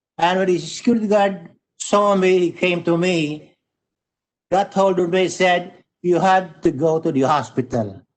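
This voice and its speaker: Speaking at a fairly slow pace, a man with a high-pitched voice uses ordinary pitch variation. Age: 80s+. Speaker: cancer patient sharing story. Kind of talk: testimony.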